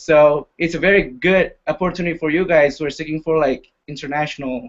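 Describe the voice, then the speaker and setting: A man speaks with an Indonesian accent at a fairly high pitch and a fairly quick pace. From Indonesia, Jambi City. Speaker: university student. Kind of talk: casual panel talk. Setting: live video hangout.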